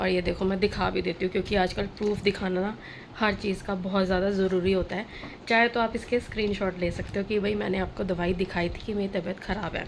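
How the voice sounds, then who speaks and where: Her pitch medium and intonation monotone and flat, a woman talks at a moderate pace. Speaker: vlogger. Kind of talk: casual vlog talk to camera.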